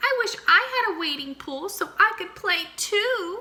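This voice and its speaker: In a squeaky, put-on character voice, the speaker moves at a moderate pace with lively intonation. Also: woman, extremely high pitch for a woman. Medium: read story.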